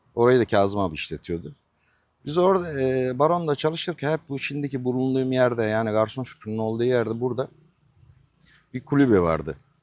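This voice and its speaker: Here a man talks at a fairly quick pace. His medium pitch moves in very wide swings. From Turkey, Denizli province (Acıpayam). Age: 50s. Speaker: restaurant owner. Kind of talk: interview. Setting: in his restaurant.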